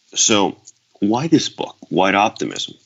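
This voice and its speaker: With a Spanish accent, a man speaks at a fairly slow pace using ordinary pitch variation. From Venezuela. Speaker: author. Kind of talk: interview. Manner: halting, with repetitions.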